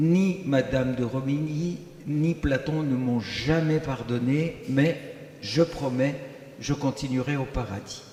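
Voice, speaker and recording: With a Greek accent, a man in a fairly high pitch speaks at a very slow pace with ordinary pitch variation over noticeable background noise. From Greece. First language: Greek (speaking French). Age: 80s+. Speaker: liturgical music composer. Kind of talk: self-introduction on a panel.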